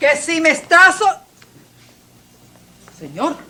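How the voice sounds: A woman does a put-on character voice at extremely high pitch with big pitch swings. Her slow delivery has a bright, sharp tone.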